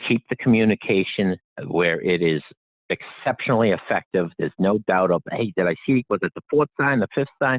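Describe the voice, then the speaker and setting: A man's fairly low voice with a Boston accent, lively intonation and very even loudness. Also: moderate pace. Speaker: inventor. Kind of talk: interview.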